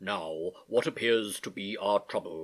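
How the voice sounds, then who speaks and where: A man uses a put-on character voice, pitched fairly low. His delivery is fairly slow. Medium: read story. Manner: cheery, patronizing.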